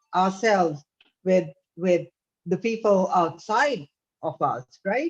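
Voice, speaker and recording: A woman of medium pitch talks at a fairly slow pace with fairly even intonation while music plays in the background. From India. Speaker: charity host. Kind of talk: panel moderation.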